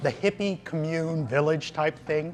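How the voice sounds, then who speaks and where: This man speaks at a fairly slow pace with a fairly high pitch. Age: 60s. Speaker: visiting tourist. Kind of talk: interview. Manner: animated.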